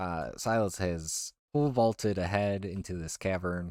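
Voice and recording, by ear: Over a quiet background, a passage is read aloud in a natural voice.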